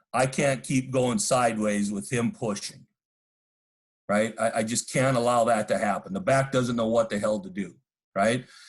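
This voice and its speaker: A man's normal speaking voice, moderate in pace and medium in pitch, with ordinary pitch variation. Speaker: football coach. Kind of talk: coaching clinic presentation.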